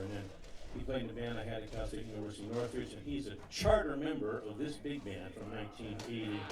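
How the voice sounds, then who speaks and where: Over noticeable background noise and audible room echo, a man speaks fairly quickly at medium pitch. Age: 60s. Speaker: bandleader. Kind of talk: stage announcement to live audience. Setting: outdoor backyard concert with audience. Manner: halting, with frequent fillers and stammers.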